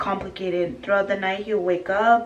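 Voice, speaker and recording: Amid noticeable background noise and audible room echo, a woman speaks at medium pitch with fairly even intonation. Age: 20s. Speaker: vlogger, young mother. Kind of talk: casual get-to-know-me vlog. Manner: casual, with many fillers and hesitations.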